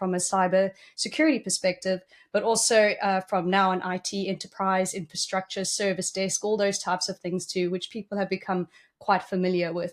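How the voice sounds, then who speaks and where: A woman with a South African accent speaks at a medium pitch and a fairly quick pace on a very clean recording with a silent background. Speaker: cybersecurity executive. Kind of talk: interview.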